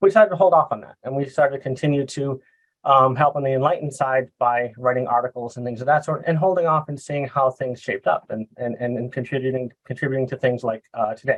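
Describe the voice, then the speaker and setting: Talking at a very fast pace with hardly any pauses, a man with a medium pitch speaks in a Boston accent. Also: ordinary pitch variation. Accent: Boston American. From US Northeast, Boston. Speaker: software consultant. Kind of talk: presentation. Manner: halting, many fillers.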